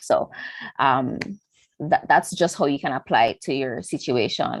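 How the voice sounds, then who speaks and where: A woman with a Jamaican accent speaks at a fairly slow pace. The sound is dry and close, with no echo. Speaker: engineering student. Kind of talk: online panel talk. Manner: casual, many fillers.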